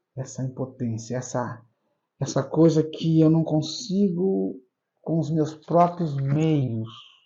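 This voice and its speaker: A somewhat breathy man at a very slow pace, with ordinary pitch variation. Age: 60s. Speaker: pastor. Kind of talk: interview. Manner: halting, repeats words.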